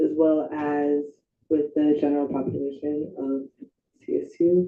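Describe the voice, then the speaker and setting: The voice is shaky. It moves at a fairly slow pace. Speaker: student senator. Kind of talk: formal debate.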